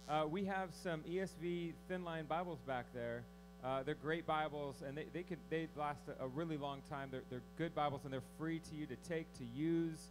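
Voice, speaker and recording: The man talks at a moderate pace. Noticeable background noise runs beneath his voice. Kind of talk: announcements to congregation. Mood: warm, lightly humorous. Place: hall.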